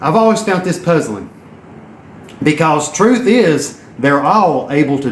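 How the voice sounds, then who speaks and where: Amid noticeable background noise and audible room echo, a man with a Southern US accent talks at a fairly high pitch with lively intonation. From Tennessee. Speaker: entrepreneur and network marketer. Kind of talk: motivational live stream talk. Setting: live video while exercising. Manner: animated.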